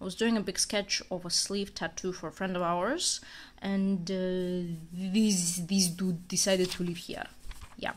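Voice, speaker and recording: Somewhat breathy and monotone, a woman with a non-native accent speaks at a fairly slow pace and medium pitch. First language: not English. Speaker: amateur artist, vlogger. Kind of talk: casual sketchbook walkthrough. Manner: casual, filler-heavy.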